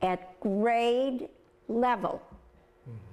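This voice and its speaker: Speaking very slowly in an American accent, a woman uses a fairly high pitch and lively intonation over noticeable background noise. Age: 80s+. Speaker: special education teacher. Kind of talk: interview answer.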